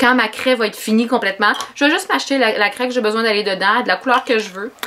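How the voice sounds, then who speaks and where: Over noticeable background noise, a woman talks at a very fast pace. She has a Quebec accent and a fairly high pitch. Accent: Québécois French. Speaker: sewing vlogger and seamstress. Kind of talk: casual vlog, product haul. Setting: home sewing studio. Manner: hesitant with many fillers.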